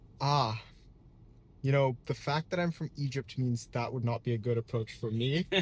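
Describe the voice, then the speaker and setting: Somewhat breathy, this man's voice stays at a medium pitch. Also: ordinary pitch variation, moderate pace. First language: French. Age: 20s. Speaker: podcast host. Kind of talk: casual interview. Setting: in a car.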